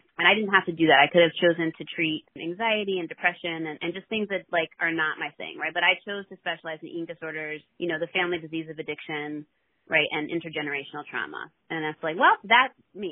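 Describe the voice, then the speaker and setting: A woman with a fairly low pitch speaks at a very fast pace. Her intonation stays fairly even while her loudness swings widely. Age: 40s. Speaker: therapist and recovery mentor. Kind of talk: interview.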